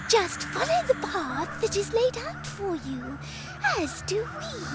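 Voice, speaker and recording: Someone performs a put-on character voice at a fairly slow pace. Loud noise fills the background. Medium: machinima. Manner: formal, stately.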